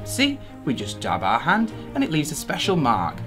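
Clear music is heard in the background. A man talks at a fairly quick pace. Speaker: attraction staff guide. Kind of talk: walkthrough guide. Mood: friendly, reassuring. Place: hall. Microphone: phone near.

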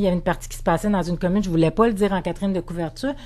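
A dark, mellow female voice of medium pitch, with ordinary pitch variation. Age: 40s. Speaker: novelist. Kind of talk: interview. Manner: halting, many repetitions and fillers.

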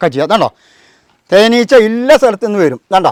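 The sound is dry and close with no echo as a man talks with lively intonation. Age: 60s. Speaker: beekeeper. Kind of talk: demonstration.

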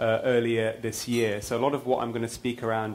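A man is speaking at a very fast pace. His intonation is monotone and flat. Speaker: conference speaker. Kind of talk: lecture. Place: hall. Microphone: lapel.

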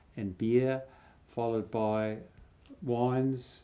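A man with an Australian accent speaks at a very slow pace in a dark, mellow tone. His pitch sits in the middle range and his intonation is fairly even. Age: 80s+. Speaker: home brewer and gardener. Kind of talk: casual talk to camera. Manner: hesitant, with fillers. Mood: calm, reflective recollection. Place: home room.

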